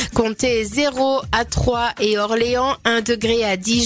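With music in the background, a woman with a high pitch speaks in fairly even intonation. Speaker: weather presenter. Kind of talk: weather forecast reading.

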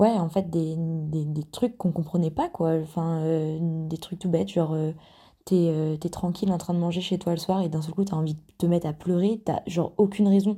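A woman with a fairly low pitch talks at a moderate pace in a somewhat breathy voice, on a very clean recording with a silent background. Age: 20s. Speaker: listener sharing a testimony. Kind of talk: testimony.

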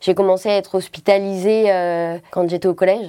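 A woman at a medium pitch talks in a dark, mellow tone with fairly even intonation. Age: 30s. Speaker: cystic fibrosis patient. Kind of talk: testimony.

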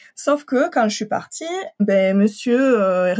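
Against a quiet background, a woman speaks at a medium pitch and a fairly slow pace. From southern France (Occitanie). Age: 30s. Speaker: translator. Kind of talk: personal testimony. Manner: hesitant, many fillers.

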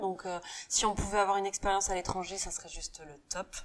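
A woman speaks in an unremarkable speaking voice at a medium pitch. Her pace is fairly quick and her intonation fairly even. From western France, Saint-Nazaire. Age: 30s. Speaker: rugby coach's wife, beauty business owner. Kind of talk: interview. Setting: at her home.

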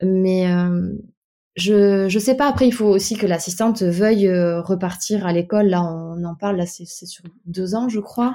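A woman speaks at a fairly slow pace with a medium pitch and fairly even intonation. Her tone is dark and mellow. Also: big swings in loudness. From Bordeaux area, France. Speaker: dental assistant. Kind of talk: casual interview.

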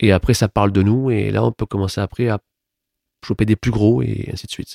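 A man speaks at a fairly quick clip in a fairly low, dark and mellow voice with fairly even intonation, recorded very cleanly against a silent background. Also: dry, close sound with no echo. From Toulouse, southern France. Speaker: playwright and stage director. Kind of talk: interview.

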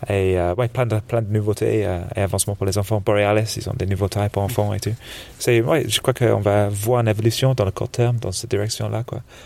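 A man's fairly low voice at a fairly quick pace, with fairly even intonation and noticeable background noise. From England, Birmingham. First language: English (speaking French). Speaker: snowboard shop buyer. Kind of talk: casual interview. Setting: couch in a dark trade-fair hall.

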